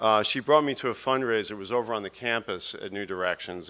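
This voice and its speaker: At a fairly quick pace, a man with an American accent speaks in a bright, sharp tone and a fairly low pitch. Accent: New York, strong when speaking publicly. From New York. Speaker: documentary producer and charity board chair. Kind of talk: speech. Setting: stage with audience. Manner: halting, repeats words.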